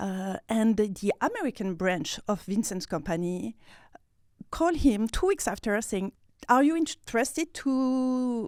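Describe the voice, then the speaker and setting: A woman in a French accent, fairly slow, with lively intonation, on a very clean recording with a silent background. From France, Nice. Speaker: PR manager. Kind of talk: interview. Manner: halting.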